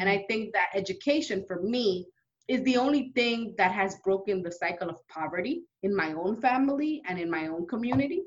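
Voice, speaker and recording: A woman speaks at a medium pitch with an American accent. Hers is a normal speaking voice. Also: lively intonation, fairly quick pace. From New York City, Dominican-born. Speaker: state legislator. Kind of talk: interview. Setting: office.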